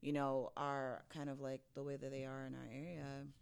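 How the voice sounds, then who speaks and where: A woman with a New York accent, bright, sharp tone, very clean recording against a silent background. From Brooklyn, New York. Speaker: podcast host. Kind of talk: casual chat.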